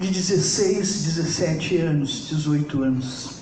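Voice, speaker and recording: A woman's voice with very wide pitch swings, noticeable background noise and audible room echo. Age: 70s. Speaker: psychologist. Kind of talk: lecture.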